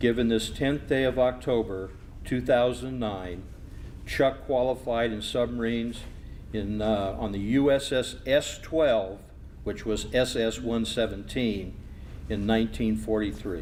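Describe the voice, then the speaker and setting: A man talks in an ordinary speaking voice at a fairly slow pace. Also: medium pitch for a man, ordinary pitch variation. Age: 60s. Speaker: master of ceremonies. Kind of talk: ceremony speech.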